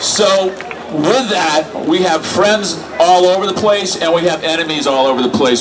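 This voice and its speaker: A man with a high pitch and ordinary pitch variation speaks at a moderate pace, with audible room echo and noticeable background noise. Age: 60s. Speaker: activist speaker. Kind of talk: rally speech. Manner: conversational, rhetorical 'right?'.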